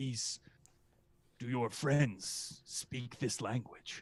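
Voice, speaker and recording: A man's raspy put-on character voice at medium pitch, delivered at a very slow pace. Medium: actual play.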